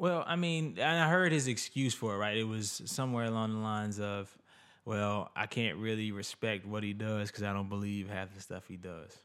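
With an ordinary speaking voice, a man talks at a moderate pace in a fairly low pitch with lively intonation, recorded very cleanly against a silent background. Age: 20s. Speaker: podcast guest. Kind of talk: casual chat.

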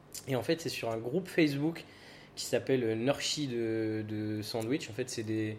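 A man talks at a fairly slow pace in a medium pitch. Noticeable background noise runs under his voice. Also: ordinary pitch variation. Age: 20s. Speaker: restaurant co-owner. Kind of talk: interview.

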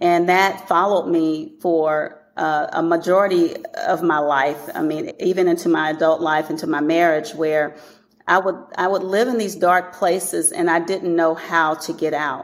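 A woman's unremarkable speaking voice with an American accent, fairly low in pitch, at a moderate pace with fairly even intonation. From East Texas. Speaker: author, educator and motivational speaker. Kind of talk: interview.

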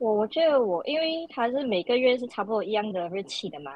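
An ordinary speaking voice belongs to a woman talking at a fairly quick pace. Her intonation is lively. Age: 20s. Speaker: pharmacy student. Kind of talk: casual chat.

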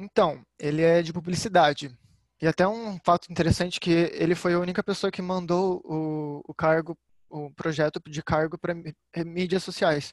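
The sound is dry and close with no echo as a man with a high pitch speaks in fairly even intonation. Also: moderate pace. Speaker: public relations student, social media. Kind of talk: casual chat.

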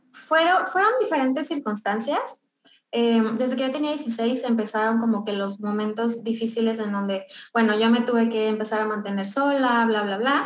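A woman speaks at a fairly high pitch. Her moderate pace comes through with audible room echo. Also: ordinary pitch variation. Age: 20s. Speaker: beauty business owner. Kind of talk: testimony.

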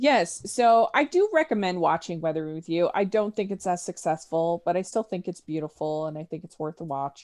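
A woman's fairly low voice with an American accent and ordinary pitch variation, hardly any pauses, and a dry, close sound with no echo against a quiet background. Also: moderate pace. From Utah, US. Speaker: podcaster. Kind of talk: casual chat. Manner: halting, many fillers and repeats.

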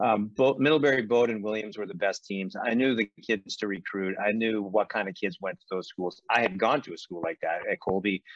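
An unremarkable speaking voice with an American accent moves at a fairly quick pace with hardly any pauses and ordinary pitch variation, in a dry, close sound with no echo. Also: man, fairly low pitch for a man. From Boston suburbs, Massachusetts. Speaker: college hockey coach. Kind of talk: interview.

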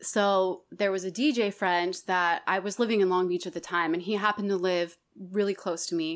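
Speaking with an American accent, a woman has a plain, everyday voice, a moderate pace and fairly even intonation. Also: medium pitch for a woman, very clean recording, silent background. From Colorado and Wyoming, US. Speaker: singer and musician. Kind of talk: casual interview chat.

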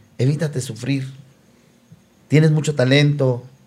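The voice is dark, mellow and somewhat breathy. It moves at a moderate pace with monotone, flat intonation. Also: man. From León, Guanajuato, Mexico. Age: 50s. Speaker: band singer. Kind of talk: casual chat.

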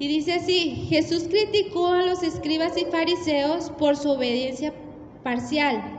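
A woman speaks with an extremely high pitch and ordinary pitch variation at a fairly slow pace. Audible room echo and noticeable background noise surround her. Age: 30s. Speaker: preacher. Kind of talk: sermon.

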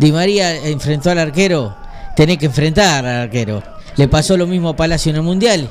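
A man with a fairly high pitch and lively intonation at a fairly quick pace, over noticeable background noise. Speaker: radio co-host, football fan. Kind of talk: casual chat about football.

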